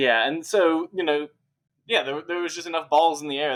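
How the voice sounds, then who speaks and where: A man speaks with an American accent. His pitch shows ordinary variation. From United States. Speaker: wargame campaign commander player. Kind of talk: interview. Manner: casual, hesitant with fillers.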